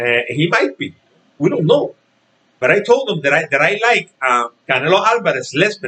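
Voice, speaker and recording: In a Spanish accent, a man speaks at a moderate pace with a bright, sharp tone. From Puerto Rico. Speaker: boxing commentator vlogger. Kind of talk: casual vlog rant. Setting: home. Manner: halting, many repetitions.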